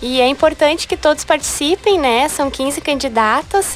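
With music in the background, a woman speaks at a moderate pace with lively intonation. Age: 20s. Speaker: beauty pageant candidate. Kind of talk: radio interview.

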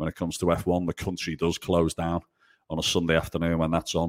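In a Liverpool accent, a man talks at a very fast pace with a very deep, low pitch, the sound dry and close with no echo on a very clean recording with a silent background. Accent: Scouse. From Liverpool, England. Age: 30s. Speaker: golf professional. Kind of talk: casual interview.

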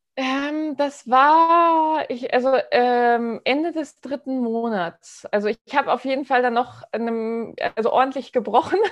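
The speaker moves at a fairly slow pace with hardly any pauses and ordinary pitch variation over a quiet background. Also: woman, high pitch for a woman. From Hamburg, northern Germany. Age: 30s. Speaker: entrepreneur and new mother. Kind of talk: interview, personal birth story.

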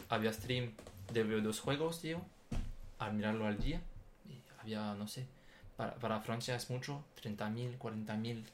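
A man with a French accent speaks at a medium pitch and a fairly slow pace, with ordinary pitch variation, long and frequent pauses, and audible room echo. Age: 20s. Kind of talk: casual chat. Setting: studio, sitting side by side. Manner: halting, repeats words.

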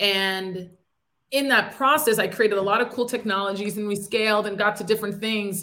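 A woman with an American accent speaks at a fairly quick pace. Her tone is bright and sharp, with fairly even intonation. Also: medium pitch for a woman. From upstate New York. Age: 30s. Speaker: entrepreneur. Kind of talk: interview.

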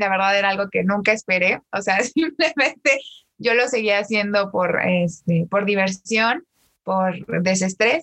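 A woman with a bright, sharp tone speaks at a fairly slow pace and very even loudness, recorded dry and close with no echo. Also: medium pitch for a woman, lively intonation. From Mexico, State of Mexico. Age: 20s. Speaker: TikTok creator and law graduate. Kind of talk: casual interview chat. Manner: animated.

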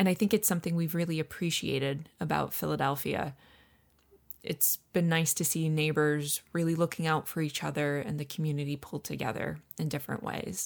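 A woman's very deep, low voice with an upstate New York accent, ordinary pitch variation and a fairly quick pace. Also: very clean recording, silent background. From upstate New York, Finger Lakes. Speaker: podcast co-host. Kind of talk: casual chat. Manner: animated.

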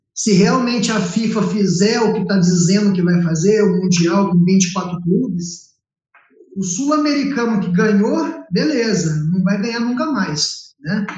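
Audible room echo surrounds a man speaking at a fairly slow pace. His pitch is high, with ordinary pitch variation. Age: 30s. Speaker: podcast co-host. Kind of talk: podcast interview.

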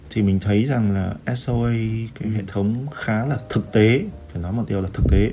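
An ordinary speaking voice from a man, fairly low in pitch with ordinary variation, at a moderate pace. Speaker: actuary. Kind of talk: casual interview.

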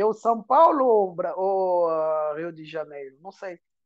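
In a quiet background, a man speaks at a high pitch with ordinary pitch variation. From Angola. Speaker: singer. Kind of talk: casual interview.

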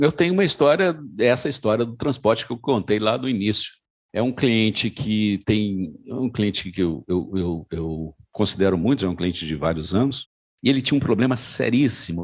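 A man's fairly low voice with lively intonation at a moderate pace, over a quiet background. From Minas Gerais, Brazil. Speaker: insurance broker and business partner. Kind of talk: casual interview conversation. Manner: conversational, with frequent hesitations and repeated words.

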